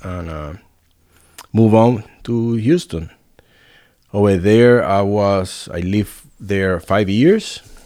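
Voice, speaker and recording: Speaking very slowly with long, frequent pauses, a man with a Spanish accent uses a fairly low pitch, ordinary pitch variation and a dark, mellow tone while his loudness swings widely. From Puerto Rico. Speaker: restaurant owner and chef. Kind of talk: casual interview.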